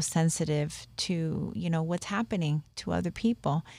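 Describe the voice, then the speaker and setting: A woman with an American accent speaks at a fairly slow pace in an unremarkable speaking voice. Her pitch is fairly low, and the sound is dry and close with no echo. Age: 50s. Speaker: spiritist medium. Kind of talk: podcast interview.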